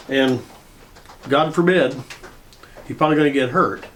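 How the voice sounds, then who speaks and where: A man talks fairly quickly in a fairly high pitch, his intonation lively, with noticeable background noise behind him. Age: 70s. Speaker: retired tow truck driver and storyteller. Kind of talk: casual storytelling monologue. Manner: halting, with many fillers.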